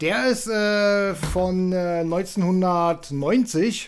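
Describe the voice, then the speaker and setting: A man with a high voice talks with lively intonation. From Berlin. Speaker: film podcast host. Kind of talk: casual chat.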